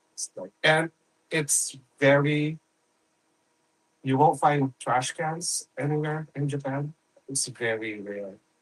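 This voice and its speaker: At a very slow pace, a man with fairly high pitch and ordinary pitch variation speaks in a dry, close sound with no echo. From Philippines. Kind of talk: casual chat.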